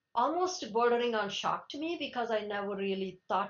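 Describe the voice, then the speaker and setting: A woman speaks at a moderate pace in a Telugu accent. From India, Telugu-speaking region. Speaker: Linux kernel maintainer. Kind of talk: interview. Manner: halting, many restarts.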